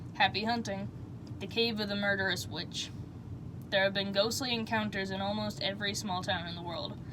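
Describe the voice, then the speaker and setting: Woman speaking at a moderate pace over noticeable background noise. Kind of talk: sleep story.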